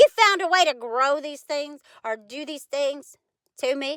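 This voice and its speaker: A woman speaks in a raised, projected voice at a high pitch with a bright, sharp tone. Her pitch swings very widely, and her pace is fairly slow. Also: dry, close sound with no echo. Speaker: vlogger. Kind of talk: personal monologue.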